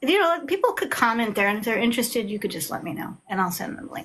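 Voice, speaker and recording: Her pitch high and swinging very widely, a woman speaks with an American accent. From Long Island, New York. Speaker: author. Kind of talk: casual chat. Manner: loud; animated.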